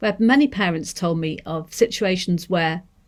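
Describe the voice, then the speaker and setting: Speaking with a Manchester accent, a woman uses a fairly low pitch with ordinary variation over a quiet background. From northern England, Manchester. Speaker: deaf education researcher; lecturer on deaf education. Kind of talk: seminar lecture. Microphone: webcam.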